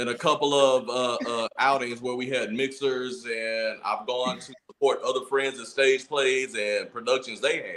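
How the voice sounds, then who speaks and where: A man with a Louisiana accent talks in an animated tone at a moderate pace with a fairly high pitch. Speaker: podcast co-host. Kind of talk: casual chat.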